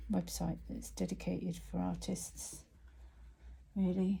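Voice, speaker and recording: Whispering, a woman speaks at a fairly slow pace. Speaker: artist teaching painting. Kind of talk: tutorial. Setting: painting at easel, real time.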